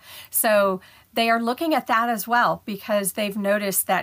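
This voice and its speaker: Speaking in a plain, everyday voice with an American accent, a woman talks at a moderate pace and medium pitch with ordinary pitch variation, in a very clean recording with a silent background. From Ohio, US. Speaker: patent analytics professional. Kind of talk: interview conversation.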